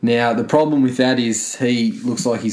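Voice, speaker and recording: A man with an Australian accent at a moderate pace, against a quiet background. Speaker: movie podcast co-host. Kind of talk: casual chat.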